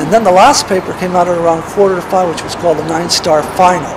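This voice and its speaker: Speaking fairly quickly in a high voice for a man, he keeps a fairly even intonation amid noticeable background noise and audible room echo. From San Francisco, California. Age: 70s. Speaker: retired school teacher. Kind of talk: personal reminiscence. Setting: outdoors on a street corner.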